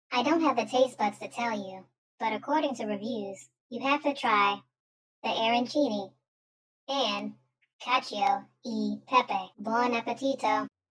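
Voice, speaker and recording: A female-sounding voice speaks in a put-on character voice at a moderate pace. Long pauses come often. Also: fairly high pitch for a woman. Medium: audio drama. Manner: dry, matter-of-fact.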